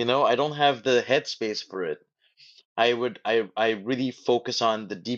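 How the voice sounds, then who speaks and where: The man has a medium pitch and an unremarkable speaking voice. His pace is moderate, with ordinary pitch variation. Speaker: podcast host, motivational speaker. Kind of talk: live audio room conversation. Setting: live online audio room.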